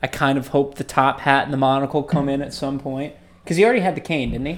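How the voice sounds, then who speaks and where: In a very clean recording with a silent background, a man speaks in an animated tone at a fairly high pitch. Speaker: podcast co-host. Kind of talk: casual chat. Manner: animated, excitable.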